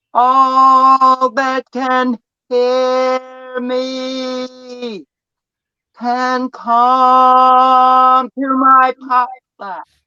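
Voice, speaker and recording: In a put-on character voice, a loud, bellowing speaker holds a high pitch at a very slow pace with monotone, flat intonation. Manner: bellowing, loud.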